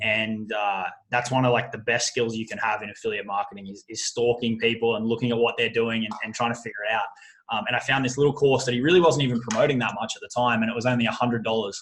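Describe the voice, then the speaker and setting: In an Australian accent, a man talks very fast at medium pitch with fairly even intonation. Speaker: affiliate marketer. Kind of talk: interview. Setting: call. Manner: frequent fillers and repetitions.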